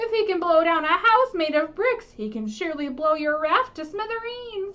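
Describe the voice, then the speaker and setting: A put-on character voice, raised and projected, moves along at a moderate pace. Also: woman, extremely high pitch for a woman. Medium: read story. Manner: worried, warning.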